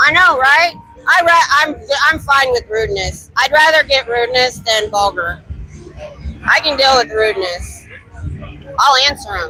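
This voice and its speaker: A woman with an American accent speaks in a raised, projected voice at a high pitch, her pitch swinging very widely. Long pauses come often, and background noise is noticeable. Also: moderate pace. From Ohio. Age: 50s. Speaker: street activist and live streamer. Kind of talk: live street stream chat. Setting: outdoors on busy bar street. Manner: loud.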